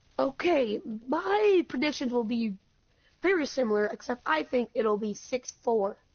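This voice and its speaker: In a high voice, a woman speaks at a fairly slow pace with lively intonation. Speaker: esports caster. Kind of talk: live commentary. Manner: stutter.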